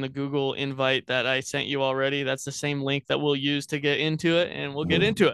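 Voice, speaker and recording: Using an unremarkable speaking voice, a man with an American accent talks at a fairly quick pace in a fairly high pitch with fairly even intonation. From Wyoming, US. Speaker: podcast host, photographer. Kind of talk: casual chat. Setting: video call.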